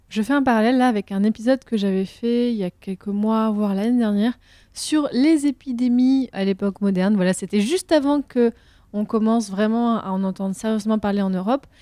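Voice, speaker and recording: Fairly high in pitch, a woman speaks at a fairly quick pace with a dark, mellow tone and ordinary pitch variation. The sound is dry and close with no echo, very clean, with a silent background. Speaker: history podcast host. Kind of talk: interview. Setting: recording room in Bordeaux.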